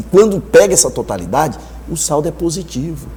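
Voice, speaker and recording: Noticeable background noise fills this recording. The man speaks at a moderate pace. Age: 60s. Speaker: political candidate. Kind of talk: TV interview.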